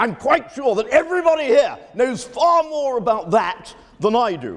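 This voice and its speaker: Over noticeable background noise, a man with a British accent speaks at a moderate pace. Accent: British-educated English. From United Kingdom (educated), Spanish family. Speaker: history professor. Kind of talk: lecture. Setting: lecture hall with audience. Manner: hesitant, many fillers.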